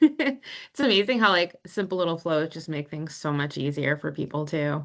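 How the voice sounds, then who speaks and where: A woman with an American accent speaks at a moderate pace in a fairly low pitch, her intonation lively. Her loudness swings widely against a quiet background. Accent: occasional Boston. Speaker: meetup host. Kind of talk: casual chat.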